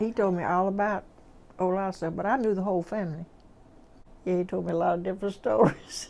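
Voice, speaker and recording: At medium pitch and with ordinary pitch variation, a woman talks at a very fast pace yet leaves long, frequent pauses. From US South. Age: 80s+. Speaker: oral history interviewee. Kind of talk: oral history interview. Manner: halting.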